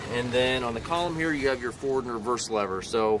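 Loud background noise sits behind a man whose voice sounds dry with no echo and shows ordinary pitch variation. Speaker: tractor salesman. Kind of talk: product walkaround commentary. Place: street. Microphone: phone near.

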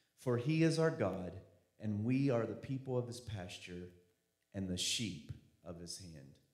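Against a quiet background with audible room echo, a man speaks with lively intonation. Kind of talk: scripture reading and announcement. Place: church. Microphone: handheld.

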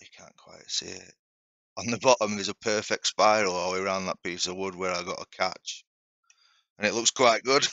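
A man with a normal speaking voice, fairly low in pitch, talks at a fairly quick pace with fairly even intonation in a dry sound with no echo. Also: quiet background. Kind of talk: tutorial. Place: workshop.

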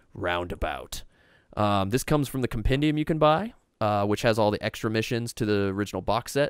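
In an American accent, a man talks at a fairly quick pace with a medium pitch, ordinary pitch variation and a normal speaking voice. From Oregon, US Pacific Northwest. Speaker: gaming streamer host. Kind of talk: casual live-stream chat and board game play. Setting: live stream video call.

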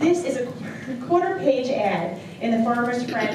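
A woman with an American accent and a high pitch is heard with audible room echo and noticeable background noise. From Long Island, New York. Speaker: auctioneer. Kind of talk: auction item pitch. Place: hall.

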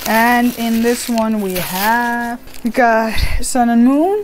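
A woman speaks very slowly with fairly even intonation. Light background noise sits behind her. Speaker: card opening vlogger. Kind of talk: casual vlog chat. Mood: cheerful, giggly. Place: home room. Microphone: webcam.

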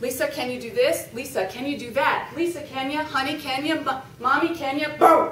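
A woman's high-pitched voice at a fairly slow pace, with audible room echo and light background noise. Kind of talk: prepared humorous speech. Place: meeting room. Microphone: camera far.

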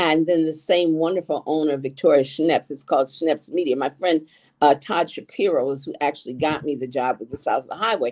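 Speaking at a fairly quick pace with hardly any pauses, a woman has a very deep, low pitch and ordinary pitch variation. She talks with an American accent over a quiet background. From Ann Arbor, Michigan, US Midwest; Michigan. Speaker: gossip columnist and author; interview guest. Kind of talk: interview; interview answer. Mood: chatty storytelling. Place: home room. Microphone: video call.

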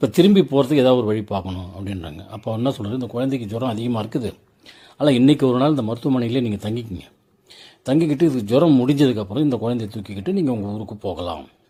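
This man has a dark, mellow tone at a medium pitch. His intonation is lively and his voice somewhat breathy. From Tamil Nadu, Tindivanam. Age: 60s. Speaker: travel vlogger and commentator. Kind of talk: storytelling monologue over scenery. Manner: conversational, rhetorical questions.

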